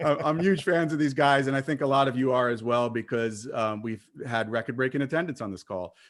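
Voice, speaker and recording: Speaking at a medium pitch with hardly any pauses, a man carries a slight Brooklyn accent. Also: ordinary pitch variation, fairly quick pace. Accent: Brooklyn accent, slight, shows on some words. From Brooklyn, New York. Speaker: webinar moderator. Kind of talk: online panel introduction. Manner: halting, many fillers.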